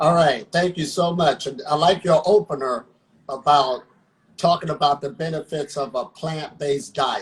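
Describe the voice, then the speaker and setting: At a moderate pace, a man with an ordinary speaking voice talks in a fairly high pitch. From Ohio, US. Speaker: breatharian practitioner. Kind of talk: interview.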